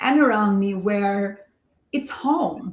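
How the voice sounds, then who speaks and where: A woman with an Albanian accent speaks at a very slow pace and a fairly high pitch. Her voice is somewhat breathy, with ordinary pitch variation. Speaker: real estate investor. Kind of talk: podcast interview.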